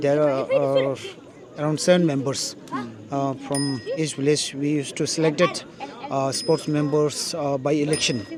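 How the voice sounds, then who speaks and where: A man with a Tibetan accent, fairly high pitch and fairly even intonation, crowd noise in the background. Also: moderate pace. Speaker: vlogger. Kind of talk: interview answer.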